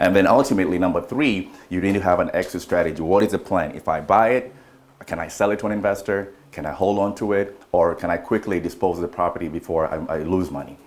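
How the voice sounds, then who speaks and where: Noticeable background noise sits behind the voice. Words pour out very fast, with ordinary pitch variation. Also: man, very deep, low pitch for a man. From Kenya. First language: not English. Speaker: real estate investor and broker. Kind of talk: training presentation. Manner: halting, searches for words.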